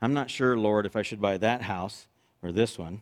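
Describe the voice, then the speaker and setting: A man's fairly low voice at a fairly quick pace, on a very clean recording with a silent background. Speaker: fill-in preacher. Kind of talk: sermon. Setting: church. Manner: fast.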